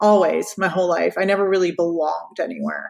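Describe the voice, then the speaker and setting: The delivery keeps a middling tempo, its pitch shifting in a typical way. It is a plain, everyday voice. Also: woman. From Florida, US. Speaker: radio personality. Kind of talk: interview. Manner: casual, many fillers.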